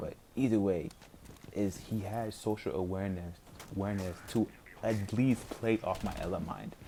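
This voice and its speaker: A man mumbles at a moderate pace in a fairly low pitch. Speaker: gaming streamer. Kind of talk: casual gameplay commentary. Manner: mumbling; casual, filler-heavy.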